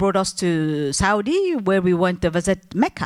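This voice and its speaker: A woman speaks with a French accent at a medium pitch. The recording is very clean, with a silent background. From Algeria, multilingual upbringing. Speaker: entrepreneur, business owner. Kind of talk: panel discussion. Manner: halting, many fillers and restarts.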